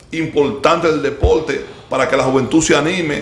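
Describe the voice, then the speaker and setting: A man speaks at a moderate pace with a fairly high pitch. Audible room echo surrounds the voice. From Dominican Republic. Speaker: sports show host. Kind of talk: casual chat. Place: studio.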